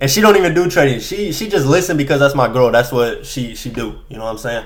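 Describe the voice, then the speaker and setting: A man at a very fast pace, fairly high in pitch with lively intonation and big swings in loudness, in audible room echo. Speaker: day trader vlogger. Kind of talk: casual monologue. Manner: halting.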